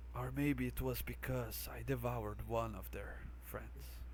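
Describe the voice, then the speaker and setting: A man puts on a character voice at a moderate pace. Clear background noise runs underneath. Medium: actual play. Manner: quiet, bargaining.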